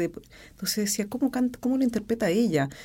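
A woman's dark, mellow voice with lively intonation. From Chile, Rancagua. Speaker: opera singer. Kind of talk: interview. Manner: halting.

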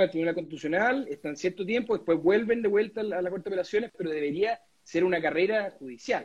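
A man with a Chilean accent and a high pitch talks very fast with lively intonation. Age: 30s. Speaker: lawyer and political candidate. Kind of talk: interview. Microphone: connection problems.

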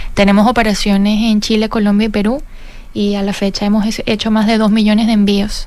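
Her intonation monotone and flat, a woman with a fairly high pitch speaks at a fairly quick pace. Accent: Venezuelan. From Venezuela. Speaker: fintech cofounder and CEO. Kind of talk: radio interview.

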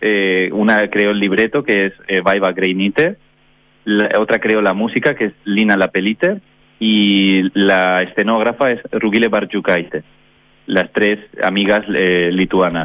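A normal speaking voice, delivered at a fairly slow pace. Loudness stays very even and intonation fairly even. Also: man, fairly low pitch for a man. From Valencia, Spain. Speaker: opera singer and performer. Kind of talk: radio interview. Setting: phone call.

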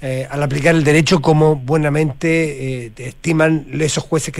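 A man with a Chilean accent and a fairly high pitch speaks at a moderate pace. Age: 60s. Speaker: radio host. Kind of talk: radio interview.

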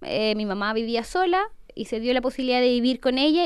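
A woman talks at a fairly quick pace in a high pitch. Her pitch varies in an ordinary way. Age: 30s. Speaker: entrepreneur. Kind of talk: interview testimony.

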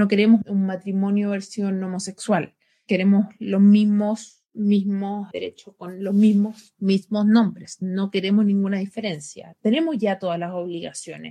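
Somewhat breathy and in a dark, mellow tone, a woman of medium pitch speaks fairly slowly with fairly even intonation and hardly any pauses. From Chile. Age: 30s. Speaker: LGBT rights advocate. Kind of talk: interview.

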